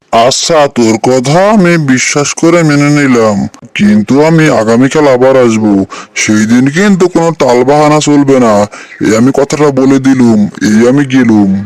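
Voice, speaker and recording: A man's cartoonish character voice at medium pitch and moderate pace. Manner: blustering, threatening.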